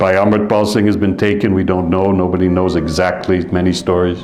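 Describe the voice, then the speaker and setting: Speaking in a Canadian accent, a man uses a fairly low pitch, a moderate pace and fairly even intonation. Audible room echo and noticeable background noise surround him. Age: 70s. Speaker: Sikh preacher. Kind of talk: sermon. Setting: gurdwara congregation.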